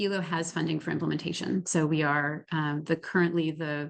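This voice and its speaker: A woman against a quiet background. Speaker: nonprofit executive director. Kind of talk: presentation. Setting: workshop presentation. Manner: fast.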